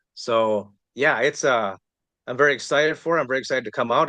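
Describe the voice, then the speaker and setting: With an American accent, a man at medium pitch talks at a very fast pace in a bright, sharp tone, the sound dry and close with no echo against a quiet background. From Wisconsin, US Midwest. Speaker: author, tennis pro. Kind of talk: interview. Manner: halting, many fillers.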